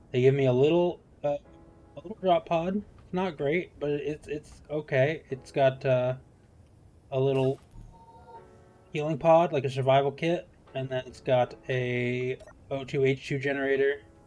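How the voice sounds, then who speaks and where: A man with an American accent and fairly high pitch, at a moderate pace with fairly even intonation and long, frequent pauses, music in the background. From US, Seattle. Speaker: game streamer. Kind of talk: live gameplay stream commentary. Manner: casual, hesitant with fillers.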